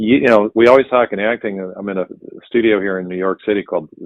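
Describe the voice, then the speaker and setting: He speaks with an American accent at a fairly quick pace. The man's pitch is fairly low, with ordinary variation. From US Midwest, Cleveland, Ohio. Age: 60s. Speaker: actor. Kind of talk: interview.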